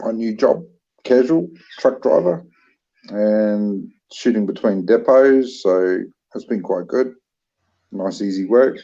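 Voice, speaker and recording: A man with a New Zealand accent speaks very slowly, with long, frequent pauses. His voice is medium-pitched and dark and mellow, with ordinary pitch variation. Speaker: livestream co-host. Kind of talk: casual livestream chat.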